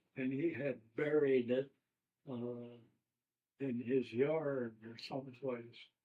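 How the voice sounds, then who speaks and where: Very slow and full of long, frequent pauses, a man's medium-pitched voice holds a monotone, flat intonation while its loudness swings widely. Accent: American. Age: 80s+. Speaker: war veteran. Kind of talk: oral history interview. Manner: halting.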